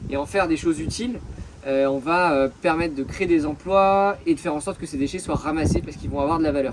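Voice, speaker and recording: A man speaks very fast in a high-pitched voice. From Brittany, France (Concarneau). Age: 30s. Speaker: environmental association founder, merchant navy officer. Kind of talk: interview. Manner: hesitant, many fillers.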